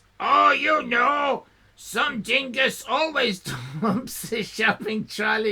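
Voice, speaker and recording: Raspy, shouted put-on character voice, fairly high in pitch, at a very slow pace. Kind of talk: casual.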